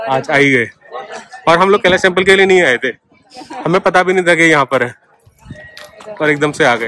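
Against light background noise, a man with a high pitch speaks at a very fast pace with ordinary pitch variation, the sound dry with no echo. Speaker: travel vlogger filming. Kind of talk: casual vlog chat. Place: street. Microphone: phone near.

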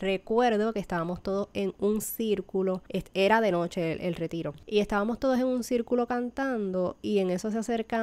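Speaking at a fairly quick pace with hardly any pauses, a woman uses an unremarkable speaking voice at medium pitch with ordinary pitch variation. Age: 30s. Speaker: baker and podcast host. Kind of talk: personal testimony.

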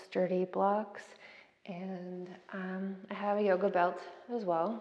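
With fairly even intonation, a woman is talking. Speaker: yoga instructor. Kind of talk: class instruction. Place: empty room. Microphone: camera far.

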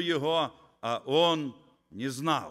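A man speaks very slowly in a bright, sharp tone with lively intonation against a quiet background. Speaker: visiting preacher. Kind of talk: sermon. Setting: church. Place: church. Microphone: podium.

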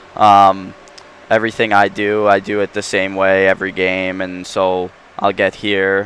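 A man speaks with a Long Island accent at a very deep, low pitch. His intonation is monotone and flat. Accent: Long Island New York. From New York, Long Island. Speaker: professional hockey player. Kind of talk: casual interview. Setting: studio.

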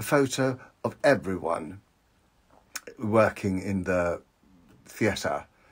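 A man is speaking. His voice is somewhat breathy. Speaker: vlogger. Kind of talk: casual vlog chat. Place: home room. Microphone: phone near.

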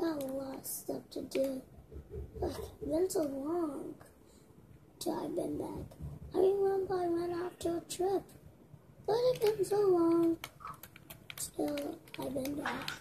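A woman's extremely high-pitched voice at a very slow pace, with long, frequent pauses, ordinary pitch variation and noticeable background noise. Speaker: gamer narrating role-play. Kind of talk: casual game role-play narration. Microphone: phone near.

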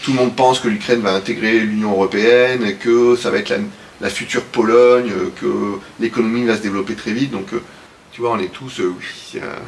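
Against noticeable background noise, a man talks at a fairly quick pace, his medium-pitched voice following a fairly even intonation. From southern France, Aix-en-Provence. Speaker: business executive. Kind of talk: interview.

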